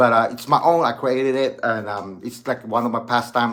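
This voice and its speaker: Monotone and flat in intonation, a man talks fairly quickly at medium pitch. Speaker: channel host and amateur rapper. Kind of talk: casual video vlog talk. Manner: halting, many fillers and restarts.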